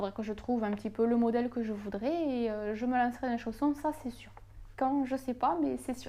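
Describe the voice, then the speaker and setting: A woman with a slight Toulouse accent, her fairly high voice going at a fairly quick pace over noticeable background noise. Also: ordinary pitch variation. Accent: southern French (Toulouse), slight. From southern France, Toulouse. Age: 20s. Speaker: knitting YouTuber. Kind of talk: casual Q&A vlog. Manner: hesitant, many fillers.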